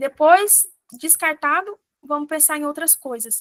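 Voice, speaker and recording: A woman speaks at a high pitch with ordinary pitch variation. The sound is dry and close, with no echo. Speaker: physician teaching exam prep. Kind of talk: lecture.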